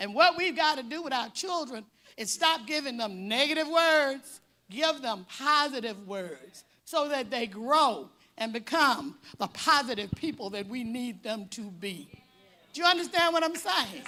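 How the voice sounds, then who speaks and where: Using a raised, projected voice with an American accent, a woman speaks fairly slowly in a high, bright, sharp tone, with very wide pitch swings and big swings in loudness. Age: 70s. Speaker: speaker at a parent symposium. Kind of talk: speech to an audience.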